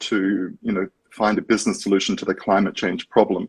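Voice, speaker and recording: Lively intonation from a man with an Australian accent. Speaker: startup co-founder. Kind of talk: interview.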